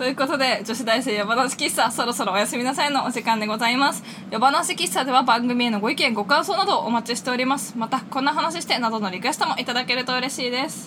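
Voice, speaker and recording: A woman with a high pitch talks at a very fast pace, with hardly any pauses and ordinary pitch variation. Noticeable background noise can be heard. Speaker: university student podcast co-host. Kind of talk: casual chat; scripted show outro.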